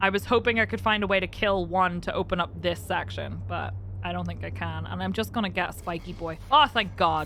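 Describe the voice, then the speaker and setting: A fairly quick pace in a Northern Irish accent. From Northern Ireland. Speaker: variety streamer. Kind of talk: live gameplay stream chat. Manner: animated.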